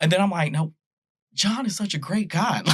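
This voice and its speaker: Speaking fairly quickly in a Southern US accent, the man's voice carries vocal fry. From US South, Nashville, Tennessee. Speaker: pastor. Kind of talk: casual chat.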